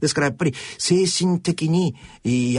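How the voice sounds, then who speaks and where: A man is speaking. His voice is somewhat breathy. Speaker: radio host and social pathologist. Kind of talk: radio talk show commentary. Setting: studio.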